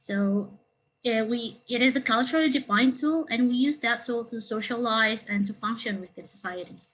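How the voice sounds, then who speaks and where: At a moderate pace, the woman's fairly high voice shows ordinary pitch variation. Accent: Indonesian. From Indonesia, Jakarta. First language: Indonesian. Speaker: counselling student. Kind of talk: webinar presentation. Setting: online webinar. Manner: hesitant, many fillers.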